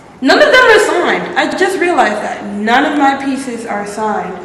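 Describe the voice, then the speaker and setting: The speech has lively intonation, with audible room echo and noticeable background noise. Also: woman. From US, Maryland (Prince George's County). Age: 20s. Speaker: art student. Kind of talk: casual chat. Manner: casual, hesitant with fillers.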